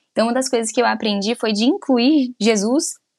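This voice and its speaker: At a moderate pace, a woman speaks in a plain, everyday voice with fairly high pitch and ordinary pitch variation. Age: 30s. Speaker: podcast co-host, mother. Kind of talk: casual chat.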